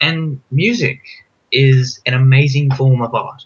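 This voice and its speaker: A man talks with fairly even intonation. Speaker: youtuber. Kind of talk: casual chat. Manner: fast, mumbling.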